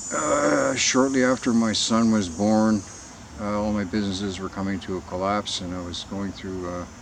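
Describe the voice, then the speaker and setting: Against noticeable background noise, a man with a Canadian accent speaks at a moderate pace in a fairly low pitch with ordinary pitch variation. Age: 60s. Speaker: conspiracy video blogger. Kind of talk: personal monologue. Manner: halting.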